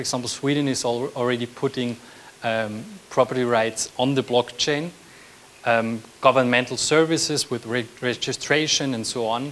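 This man's voice sits at a medium pitch, with a fairly bright tone, fairly even intonation and a moderate pace.

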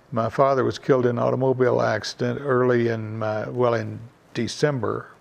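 A man speaks with a Kentucky accent. His pace is moderate. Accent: Kentucky Southern. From Mount Sterling, Kentucky. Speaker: retired businessman. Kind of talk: interview answer. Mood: reflective, calm storytelling. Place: home room.

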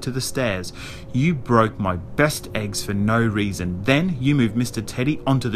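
The speaker reads aloud in a natural voice, and the pitch shifts by a usual amount.

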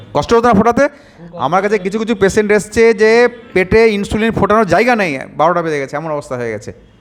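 A man talks with lively intonation in a high-pitched voice. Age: around 50. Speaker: doctor. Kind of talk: patient testimonial video with health advice.

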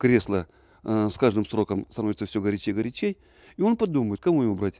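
A man's dark, mellow voice with lively intonation at a fairly quick pace, dry with no echo against a quiet background. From Russian Far East, Primorsky Krai. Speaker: tree-planting activist, former official; interviewee. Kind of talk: interview. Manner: halting. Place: garden.

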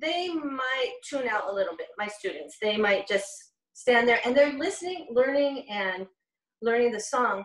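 A woman with a fairly high pitch and a fairly bright tone talks at a fairly slow pace, making big pitch swings.

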